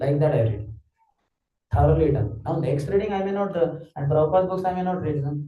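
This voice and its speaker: Somewhat breathy speech comes at a very fast pace with ordinary pitch variation and audible room echo. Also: man. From Maharashtra, India. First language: Marathi. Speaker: spiritual teacher. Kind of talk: lecture.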